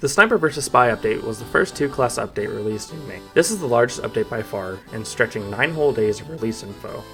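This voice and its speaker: With music in the background, a man of medium pitch talks at a very fast pace with hardly any pauses, lively intonation and big swings in loudness. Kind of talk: video essay narration. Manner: low energy, unenthusiastic.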